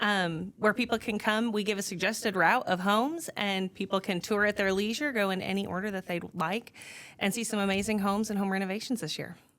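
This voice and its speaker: A woman with an American accent has an ordinary speaking voice, medium pitch, a fairly quick pace and fairly even intonation. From upstate New York. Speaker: volunteer event chair. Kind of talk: podcast interview.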